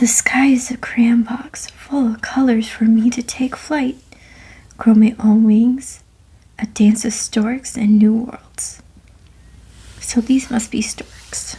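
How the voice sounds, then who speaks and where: A soft-spoken woman with a gentle tone speaks at a fairly high pitch in a flat monotone. She goes very slowly, leaving long, frequent pauses. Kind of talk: ASMR bedtime story reading. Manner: soft-spoken, gentle.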